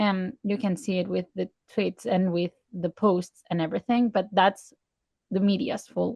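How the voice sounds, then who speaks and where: A somewhat breathy woman with a Spanish accent, medium pitch, dark, mellow tone and fairly even intonation, at a moderate pace in a dry, close sound with no echo. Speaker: podcast co-host. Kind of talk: casual chat. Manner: halting.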